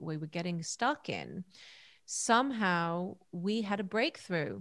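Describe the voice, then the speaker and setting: A plain, everyday voice moves at a fairly slow pace with lively intonation. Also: woman, very clean recording, silent background. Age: 40s. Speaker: holistic counselor and breathwork facilitator. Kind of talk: casual chat.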